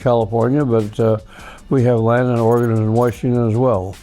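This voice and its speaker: With music playing behind, the speech moves at a fairly quick pace. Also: man. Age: 80s+. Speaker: lumber company founder. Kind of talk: interview answer. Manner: halting, with many fillers.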